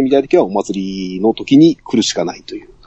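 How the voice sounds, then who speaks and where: A man speaks at a moderate pace. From Saga, Japan. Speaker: podcast guest. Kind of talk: casual chat.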